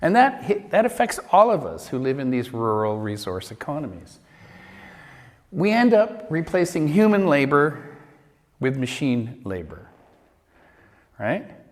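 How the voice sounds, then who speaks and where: At a fairly slow pace, with long, frequent pauses and very wide pitch swings, the voice carries audible room echo. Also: man, fairly high pitch for a man. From Canada, Vancouver Island. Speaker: lecturer. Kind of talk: lecture. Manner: conversational.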